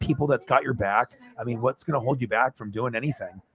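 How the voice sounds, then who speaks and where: In an ordinary speaking voice, a man talks fairly quickly at medium pitch with fairly even intonation, the sound dry and close with no echo. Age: 40s. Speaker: sports livestreamer. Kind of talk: casual chat. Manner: rambling, filler-heavy.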